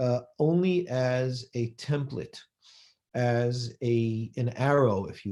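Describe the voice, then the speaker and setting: His voice somewhat breathy, a man talks in an American accent, his intonation lively. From US West Coast, Los Angeles. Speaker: rabbi. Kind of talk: lecture.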